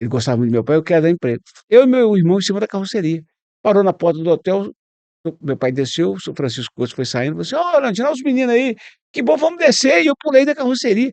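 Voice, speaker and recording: The recording is dry and close with no echo, as a man with a high pitch talks very fast in very wide pitch swings. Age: 60s. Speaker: radio journalist. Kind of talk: interview.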